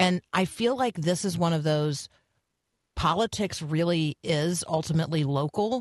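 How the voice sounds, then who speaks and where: A woman's ordinary speaking voice, fairly low in pitch, at a moderate pace with ordinary pitch variation and very even loudness, in a dry, close sound with no echo. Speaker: radio host. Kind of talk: live morning radio show with interviews. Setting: radio studio. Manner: warm, chatty, upbeat.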